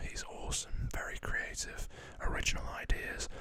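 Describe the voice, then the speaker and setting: A man whispers over noticeable background noise. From northwest England, Preston. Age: 20s. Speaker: ASMR creator. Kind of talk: Q&A reading viewer questions. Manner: soft-spoken.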